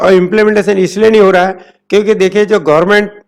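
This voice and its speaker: Pitched high, a man's voice carries fairly even intonation. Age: 70s. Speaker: ITI instructor and institute owner. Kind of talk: interview.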